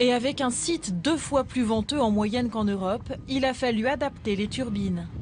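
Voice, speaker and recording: Noticeable background noise sits behind a woman speaking at a moderate pace. Her pitch is fairly high with ordinary variation, and her loudness stays very even. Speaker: news presenter and reporter voice-over. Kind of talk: documentary news report narration. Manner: formal, measured, steady reporting tone.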